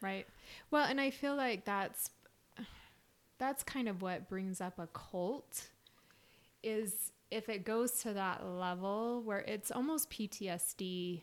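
Speaking in an American accent, a woman talks at a very slow pace with ordinary pitch variation and long, frequent pauses. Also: medium pitch for a woman. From Utah (Salt Lake City). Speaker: podcast co-host, spiritual coach. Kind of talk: casual chat.

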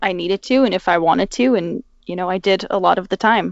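An ordinary speaking voice from a woman, medium in pitch, fairly quick, with ordinary pitch variation. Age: 20s. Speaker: podcast guest, fan sharing personal story. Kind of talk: casual interview.

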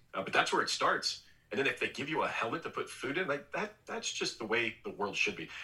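Background noise is clearly present. Over it, a man talks fairly fast. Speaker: former baseball pitcher, TV analyst. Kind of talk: casual interview chat.

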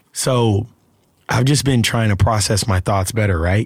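Somewhat breathy and with lively intonation, the speaker talks at a moderate pace with an American accent in a very clean recording against a silent background. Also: man. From Alabama, US South. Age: 30s. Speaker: actor. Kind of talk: casual interview chat.

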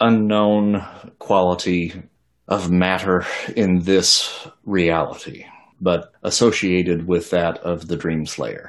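A put-on, robotic character voice at a very slow pace. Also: man.

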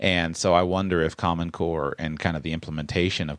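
A voice with vocal fry, recorded dry and close with no echo against a quiet background. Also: man. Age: 20s. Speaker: personal finance podcast host, former financial planner. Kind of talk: podcast interview. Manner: halting.

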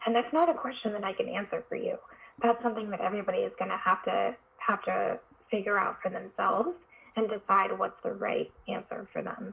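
Noticeable background noise under a woman's fairly quick speech. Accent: American. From US West Coast, San Francisco Bay Area. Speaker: psychiatrist. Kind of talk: interview conversation.

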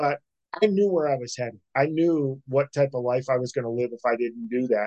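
A man with an American accent has a plain, everyday voice of medium pitch and ordinary pitch variation. He talks fairly quickly, and the sound is dry and close with no echo. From Pennsylvania, small town. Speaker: entrepreneur and self-help author. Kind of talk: interview, life story.

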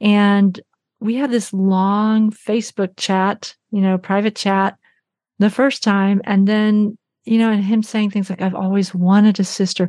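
Against a quiet background, a woman speaks at a fairly slow pace in a monotone, flat intonation, the sound dry and close with no echo. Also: medium pitch for a woman. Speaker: documentary filmmaker and podcaster. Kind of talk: interview, personal adoption story.

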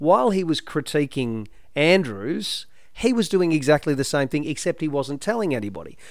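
With an Australian accent, a man speaks at a moderate pace and fairly high pitch, with very wide pitch swings. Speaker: former mayor and local councillor. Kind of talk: casual chat.

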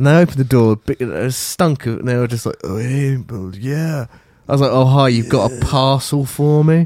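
Delivered at a moderate pace with ordinary pitch variation, the speech has a dark, mellow tone and an English accent. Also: man, medium pitch for a man. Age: 30s. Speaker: podcast co-host. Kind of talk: casual chat.

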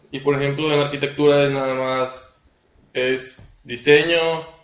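A medium-pitched man speaks at a very slow pace in a monotone with flat intonation. Audible room echo surrounds his voice. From Mexico, Tabasco (Cárdenas). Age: 20s. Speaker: architect. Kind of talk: casual interview.

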